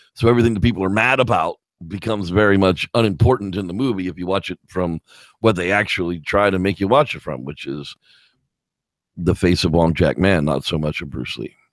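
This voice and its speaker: In a dry, close recording with no echo, a man with a very deep, low voice speaks at a fairly quick pace with ordinary pitch variation. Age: 40s. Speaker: movie review show host. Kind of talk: casual chat. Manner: halting.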